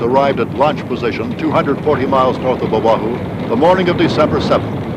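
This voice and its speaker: Through noticeable background noise, a man with an American accent speaks fairly quickly with ordinary pitch variation. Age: 80s+. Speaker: war veteran; former radio correspondent. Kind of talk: documentary narration.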